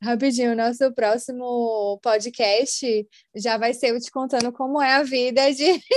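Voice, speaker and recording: A woman's high voice with fairly even intonation at a fairly slow pace. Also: quiet background. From Brazil, Salvador. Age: 20s. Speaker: customer experience analyst. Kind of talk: casual interview chat.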